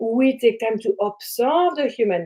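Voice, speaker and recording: A woman speaks with a French accent. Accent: French accent, noticeable. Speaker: spiritual teacher and trance channel. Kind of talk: live stream talk to viewers. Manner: animated.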